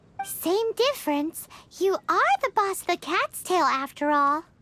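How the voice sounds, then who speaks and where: An extremely high-pitched, bubbly cartoonish character voice. It moves at a fairly slow pace. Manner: bubbly, teasing.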